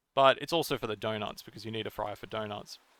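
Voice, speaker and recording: A man with an Australian accent, fairly low in pitch, bright and sharp in tone, at a very fast pace with fairly even intonation. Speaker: video game theory youtuber. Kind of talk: video essay commentary. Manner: hesitant, many fillers and repeats.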